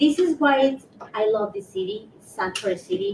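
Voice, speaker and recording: A woman with a Spanish accent and ordinary pitch variation. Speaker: community member, panelist. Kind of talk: panel discussion. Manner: halting.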